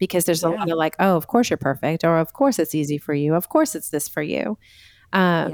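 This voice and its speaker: A woman's fairly low voice at a very fast pace, with ordinary pitch variation and a dry, close sound with no echo. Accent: American. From US Northeast (Massachusetts). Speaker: Enneagram coach and author. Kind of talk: casual interview chat.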